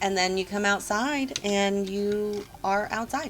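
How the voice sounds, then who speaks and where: Over background music, a woman speaks at medium pitch. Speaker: video game builder and youtuber. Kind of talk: tutorial walkthrough. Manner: casual with frequent ums. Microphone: poor sound quality.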